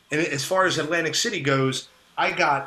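Amid noticeable background noise, a man with an American accent speaks at a moderate pace with lively intonation. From South Jersey, US. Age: 30s. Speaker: music show promoter. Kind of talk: casual podcast interview. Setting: video call.

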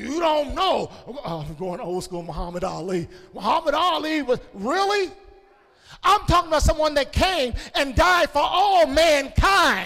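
The voice is raised, projected and animated, with very wide pitch swings at a fairly slow pace. Noticeable background noise runs underneath. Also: man, extremely high pitch for a man. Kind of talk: sermon to a live congregation. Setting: church with a live congregation, also broadcast.

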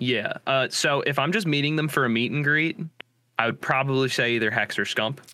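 A man with an American accent talks at a fairly quick pace in an ordinary speaking voice, his fairly high pitch showing ordinary variation and his loudness very even. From New Jersey. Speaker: gaming content creator. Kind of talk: casual chat.

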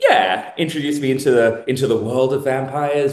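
With a plain, everyday voice, a man speaks at a moderate pace and fairly even intonation. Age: 30s. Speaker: self-identified real-life vampire. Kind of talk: casual interview chat.

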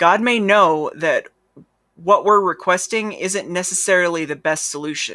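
The voice has a gentle tone and a moderate pace on a very clean recording with a silent background. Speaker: devotional host. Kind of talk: guided prayer. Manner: gentle, reverent, pausing for listeners to repeat.

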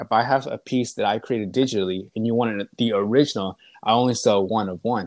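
In a normal speaking voice with an American accent, a man talks at a fairly quick pace and medium pitch with fairly even intonation, the sound dry and close with no echo. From East Texas. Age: 20s. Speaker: visual artist. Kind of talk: interview. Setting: remote call.

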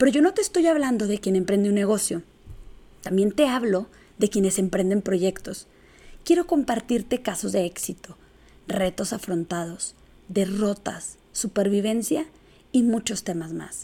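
A woman with a northern Mexican accent speaks at a fairly slow pace, her medium-pitched voice dark and mellow. Her intonation is lively, broken up by long, frequent pauses. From northern Mexico, Chihuahua. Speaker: podcast host, business owner and speaker. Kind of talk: solo podcast monologue. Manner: blunt northern delivery.

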